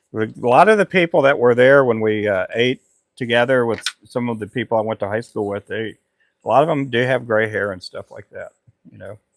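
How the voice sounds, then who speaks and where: Using an unremarkable speaking voice, a man at medium pitch talks at a fairly quick pace with ordinary pitch variation. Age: 50s. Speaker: fishing lure maker and livestreamer. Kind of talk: casual live stream chat.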